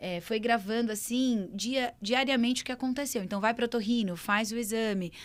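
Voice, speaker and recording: At a moderate pace with ordinary pitch variation, the voice comes through on a very clean recording with a silent background. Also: woman. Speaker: speech therapist, video co-host. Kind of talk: casual educational chat.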